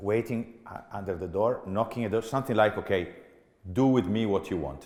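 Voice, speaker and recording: An Italian accent at a fairly quick pace, with ordinary pitch variation. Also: man, fairly low pitch for a man. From Italy. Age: 40s. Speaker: business executive. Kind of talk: keynote talk. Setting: stage with audience. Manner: animated.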